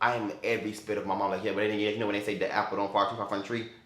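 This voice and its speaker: A man speaks with an American accent. The room adds audible echo. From Florida. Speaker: YouTuber. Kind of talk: casual vlog Q&A. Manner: halting with repetitions; animated.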